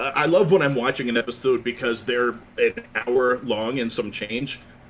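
Noticeable noise sits in the background. A man talks, his pitch varying in an ordinary way. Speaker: podcast host. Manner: joking, jokey.

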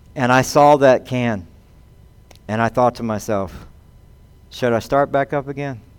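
A man's medium-pitched voice in a Southern US accent, with fairly even intonation, a fairly slow pace and long, frequent pauses. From US South. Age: 50s. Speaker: pastor. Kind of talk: sermon.

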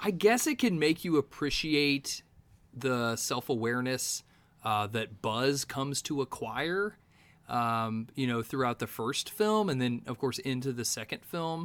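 A man talks at a fairly slow pace in a normal speaking voice. His intonation is lively. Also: medium pitch for a man. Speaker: podcaster guest. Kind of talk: casual podcast chat.

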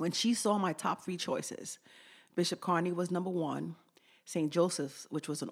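In a very clean recording with a silent background, a woman speaks at a fairly low pitch and a moderate pace. Hers is an unremarkable speaking voice with ordinary pitch variation. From St. Lucia, raised in US from age 4 (New York). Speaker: activist, former basketball coach. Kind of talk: interview.

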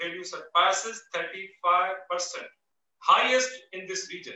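A man is speaking. His pitch is high. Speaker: former energy agency chief executive. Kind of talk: panel webinar presentation. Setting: video call webinar.

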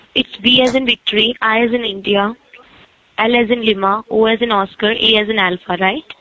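Over noticeable background noise, a woman talks at a fairly quick pace, her fairly high voice holding fairly even intonation and very even loudness. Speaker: telemarketer. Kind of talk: scam phone call. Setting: phone call.

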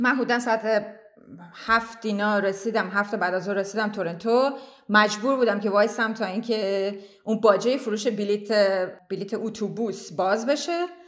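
A woman's fairly high voice at a moderate pace, an unremarkable speaking voice with fairly even intonation. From Iran, Tehran. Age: 30s. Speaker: immigrant interviewee. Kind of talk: interview, personal story.

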